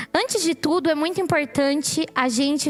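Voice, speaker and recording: Rather slow speech from a woman amid clearly audible background noise. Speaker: preacher. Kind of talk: sermon. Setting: church.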